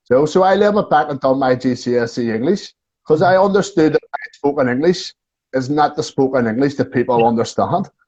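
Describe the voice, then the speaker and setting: A Belfast accent at a fairly quick pace, with ordinary pitch variation. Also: man, fairly high pitch for a man. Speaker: tour guide. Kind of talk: casual chat. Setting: video call. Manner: talkative.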